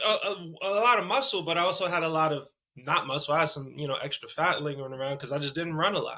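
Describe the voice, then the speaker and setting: With a New York accent, a man talks at a fairly quick pace in a fairly high voice. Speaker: amateur marathon runner. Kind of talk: casual chat.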